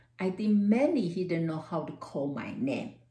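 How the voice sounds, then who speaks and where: In a Taiwanese accent, a woman with a fairly low pitch and a dark, mellow tone speaks at a moderate pace, somewhat breathy, with lively intonation. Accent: Taiwanese Mandarin-accented English. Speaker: university professor. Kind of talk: personal talk to camera.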